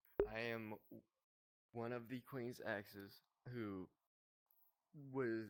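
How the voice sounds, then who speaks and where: A man speaks with fairly even intonation. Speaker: ex-member of an online group. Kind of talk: testimony. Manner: halting.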